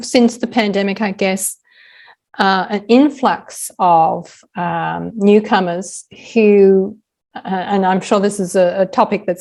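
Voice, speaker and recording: This woman has an American accent and a medium-pitched voice. Her intonation stays fairly even. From Australia. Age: 60s. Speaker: author and podcaster. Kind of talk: interview conversation.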